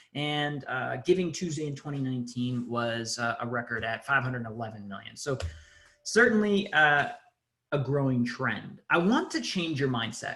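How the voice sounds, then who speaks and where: In a room with audible echo, a man with a fairly high pitch and a bright, sharp tone speaks with lively intonation. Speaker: nonprofit digital agency CEO, conference presenter. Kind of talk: conference webinar presentation. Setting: video call. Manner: fast.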